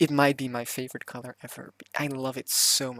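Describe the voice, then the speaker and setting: The pace is moderate. The speaker has a non-native accent. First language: not English. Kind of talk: casual voiceover for game speedbuild. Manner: hesitant, many fillers.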